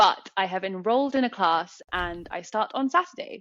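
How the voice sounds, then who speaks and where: Someone speaks at a moderate pace with a British accent and ordinary pitch variation. The sound is dry and close with no echo, over a quiet background. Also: woman. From England, London. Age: 30s. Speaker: artist. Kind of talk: podcast interview.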